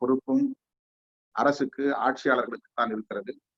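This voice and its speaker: A man talks in a plain, everyday voice. His intonation stays fairly even. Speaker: guest speaker. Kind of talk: formal speech. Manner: formal.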